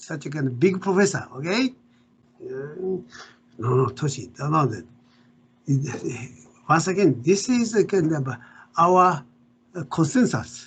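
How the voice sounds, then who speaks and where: Someone with a Japanese accent talks at a fairly slow pace, with very wide pitch swings and long, frequent pauses. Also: man, fairly high pitch for a man. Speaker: professor. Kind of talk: interview. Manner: halting.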